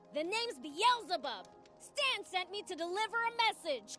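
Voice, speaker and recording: Someone performs a put-on character voice at a moderate pace. Clear music plays in the background. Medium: video game.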